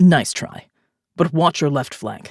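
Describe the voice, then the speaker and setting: A put-on character voice at a middle pitch. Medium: read story. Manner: commanding, terse.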